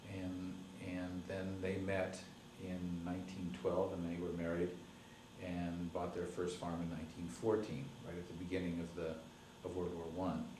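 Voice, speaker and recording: With audible room echo and noticeable background noise, a man speaks in a very deep, low pitch at a moderate pace, his intonation monotone and flat. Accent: American. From Colorado, US (Greeley). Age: 50s. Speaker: oral history interviewee, farmer. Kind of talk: oral history interview. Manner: halting, with many fillers and restarts.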